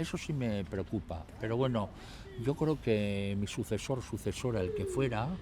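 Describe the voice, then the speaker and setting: In an ordinary speaking voice, a man of medium pitch talks fairly slowly with lively intonation. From Basque Country, Trapagaran (Biscay). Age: 60s. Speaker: mayor. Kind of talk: interview.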